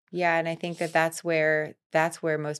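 In a very clean recording with a silent background and a dry, close sound lacking any echo, a woman speaks with an American accent. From Florida. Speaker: fitness coach. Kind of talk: casual chat.

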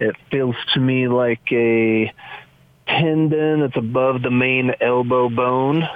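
A man speaks at a very slow pace and a medium pitch, in a monotone, flat intonation with very even loudness. Noticeable background noise runs underneath. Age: 40s. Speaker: landscaper caller. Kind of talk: phone call-in question. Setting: phone call.

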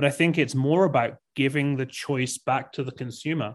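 Against a quiet background, a man with an English accent speaks at a medium pitch with fairly even intonation. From England. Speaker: tech company CEO. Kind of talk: interview. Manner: halting, many repeated words.

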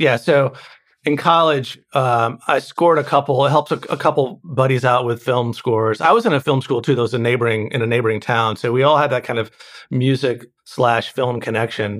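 A man with an American accent and an ordinary speaking voice, medium in pitch, fairly quick and fairly even in intonation, on a very clean recording with a silent background. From North Carolina, US South (High Point). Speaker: film and TV composer. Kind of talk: interview conversation.

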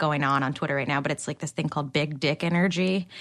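Her voice is very deep and low for a woman, and she talks at a very fast pace. The background is quiet. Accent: New Jersey. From New Jersey. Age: 20s. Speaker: barista. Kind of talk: casual chat. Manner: animated.

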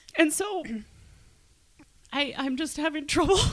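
A woman speaks in a raised, projected voice. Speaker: podcast host. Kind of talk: casual chat.

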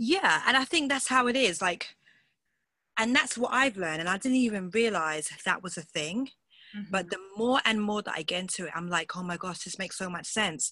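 A woman with a strong British accent talks at a fairly quick pace and a medium pitch. Her tone is bright, sharp, enthusiastic and animated, with lively intonation. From England, London. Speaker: pastor, singer and coach. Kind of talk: interview conversation. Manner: enthusiastic, animated.

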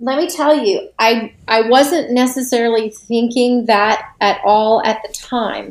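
A woman's plain, everyday voice with an American accent, fairly high in pitch, with ordinary pitch variation, at a fairly slow pace with hardly any pauses. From Florida (Tampa Bay). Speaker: music publisher and songwriter. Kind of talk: podcast interview. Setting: remote call.

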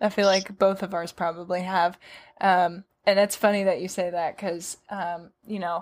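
A woman at a medium pitch, monotone and flat, at a moderate pace, on a very clean recording with a silent background. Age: 20s. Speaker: podcast host, horse owner. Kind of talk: casual interview.

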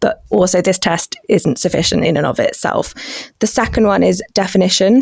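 This woman has a British accent. She talks at a moderate pace. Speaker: policy researcher. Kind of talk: expert interview.

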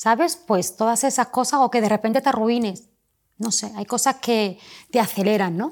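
A woman with a plain, everyday voice speaks at a moderate pace. Her pitch is fairly high, with ordinary variation. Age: 40s. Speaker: pharmacist and entrepreneur. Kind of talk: casual interview.

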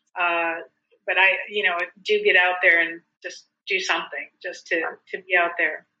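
A woman with an American accent at a moderate pace, with long, frequent pauses. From South Dakota, US. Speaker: small business owner, fiber dyer. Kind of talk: casual chat.

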